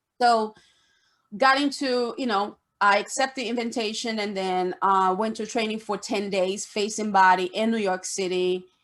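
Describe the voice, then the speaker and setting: On a very clean recording with a silent background, a woman speaks in a Brazilian Portuguese accent at a fairly high pitch. Her pace is moderate and her intonation fairly even. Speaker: esthetician. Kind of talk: interview. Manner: halting.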